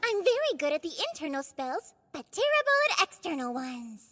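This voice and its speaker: In a put-on character voice, a woman sounds squeaky and confident, with an extremely high pitch, very wide pitch swings and a moderate pace, in a dry, close sound with no echo. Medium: fan dub. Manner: peppy, confident.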